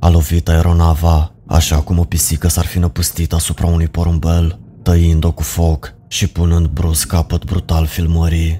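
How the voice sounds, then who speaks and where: A man's very deep, low voice, dark, mellow and somewhat breathy, comes out fairly slowly in a monotone, flat intonation. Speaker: horror story narrator. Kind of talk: ghost story telling, first-person scripted horror narration. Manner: slow, hushed and ominous, building dread with grave, deliberate pacing.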